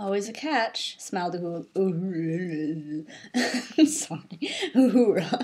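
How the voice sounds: Lively intonation in a natural reading voice.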